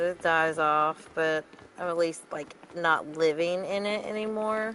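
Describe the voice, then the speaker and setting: A woman with a Southern US accent speaks at a fairly slow pace in a fairly low pitch, with fairly even intonation over noticeable background noise. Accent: Southern, country. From US South, North Carolina and West Virginia mountains. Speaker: gamer streamer. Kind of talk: casual chat while gaming.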